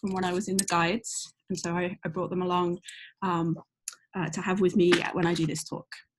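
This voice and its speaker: On a very clean recording with a silent background, a woman with a British accent speaks at medium pitch and a moderate pace, her voice somewhat breathy. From UK. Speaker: astronomy professor. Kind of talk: educational talk. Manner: hesitant, many fillers.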